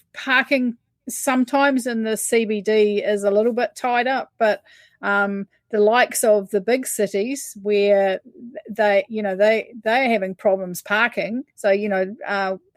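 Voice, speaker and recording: A woman with a New Zealand accent speaks at a fairly slow pace with fairly even intonation and a fairly high pitch. The recording is very clean with a silent background, and the sound is dry and close with no echo. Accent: New Zealand accent, remarked on by host. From New Zealand, Taranaki. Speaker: rideshare driver. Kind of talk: casual chat. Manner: halting, many fillers.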